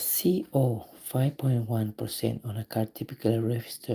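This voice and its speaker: Speaking with a non-native accent, a man uses a medium pitch, a dark, mellow tone, ordinary pitch variation and a somewhat breathy sound. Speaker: auto mechanic streamer. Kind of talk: live stream tutorial, reading test questions aloud. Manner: halting.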